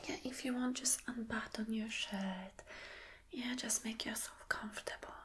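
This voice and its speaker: A soft-spoken woman's soothing voice with fairly even intonation. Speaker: role-play host. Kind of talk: soft-spoken role-play chat. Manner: soft soothing ASMR voice. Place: home room.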